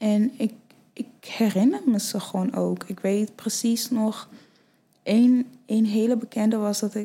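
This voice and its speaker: A woman's somewhat breathy voice, fairly high in pitch, very slow, with fairly even intonation. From Nigeria, then Friesland from age eight. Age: 20s. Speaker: fashion model. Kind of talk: casual chat.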